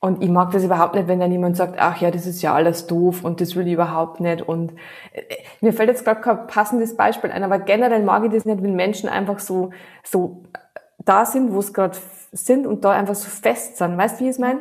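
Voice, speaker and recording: This voice has a slight Bavarian accent and ordinary pitch variation. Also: woman, medium pitch for a woman. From Bavaria, Regensburg area. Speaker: digital marketing consultant. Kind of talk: casual interview.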